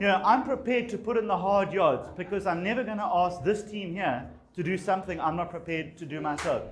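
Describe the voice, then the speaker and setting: With noticeable background noise and audible room echo, a man talks at a very fast pace with hardly any pauses, a high pitch and ordinary pitch variation. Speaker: politician. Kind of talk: campaign speech. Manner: hesitant, many fillers.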